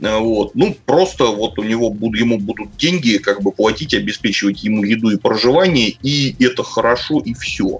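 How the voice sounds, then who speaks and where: Over music in the background, a man at medium pitch speaks at a moderate pace with lively intonation. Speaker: podcast co-host. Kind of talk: casual chat.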